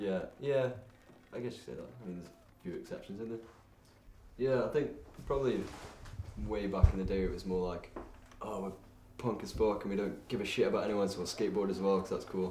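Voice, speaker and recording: A man talks fairly quickly but with long, frequent pauses, his loudness swinging widely in a room with audible echo. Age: 20s. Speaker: skateboarder and university student. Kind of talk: documentary interview. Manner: casual.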